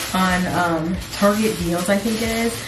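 Music playing behind a woman's voice of ordinary pitch variation. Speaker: vlogger. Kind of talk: casual vlog chat, shopping haul. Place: bathroom.

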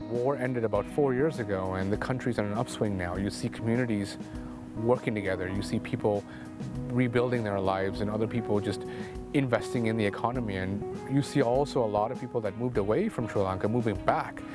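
Over clear music in the background, a man speaks at a very fast pace with ordinary pitch variation and a dry sound with no echo. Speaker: interviewee. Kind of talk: interview answer. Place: waterside. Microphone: lapel.

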